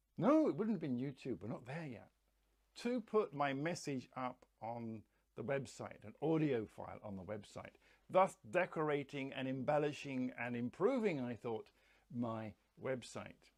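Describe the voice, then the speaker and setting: This voice has an English accent and lively intonation. Its loudness swings widely. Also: man, medium pitch for a man, moderate pace. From England. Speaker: educator and coach. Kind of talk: monologue.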